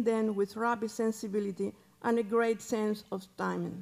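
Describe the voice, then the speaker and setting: A woman speaks at a fairly slow pace. Her pitch sits fairly high. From Cuba. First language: Spanish. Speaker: museum curator. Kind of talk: reading prepared paper. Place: hall. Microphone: podium.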